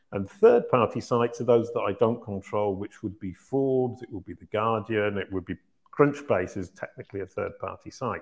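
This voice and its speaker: A man's medium-pitched voice, a plain, everyday voice, at a moderate pace, with ordinary pitch variation and big swings in loudness. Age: 50s. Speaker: search marketing consultant and company founder. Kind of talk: Q&A interview.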